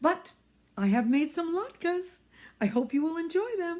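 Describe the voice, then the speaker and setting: In a squeaky, put-on character voice, the speaker keeps a moderate pace with very wide pitch swings. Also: woman, extremely high pitch for a woman. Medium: read story. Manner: fussy, fretful.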